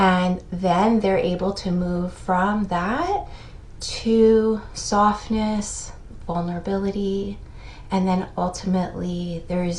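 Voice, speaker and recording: The delivery is very slow and monotone, with flat intonation and audible room echo. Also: woman. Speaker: therapist explaining TV shows. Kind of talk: video commentary.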